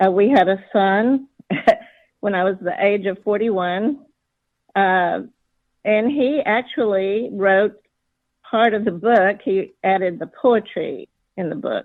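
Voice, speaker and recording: A woman talks at a very slow pace with long, frequent pauses. Her voice is medium in pitch, with ordinary pitch variation. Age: 60s. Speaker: author. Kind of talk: interview. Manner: halting.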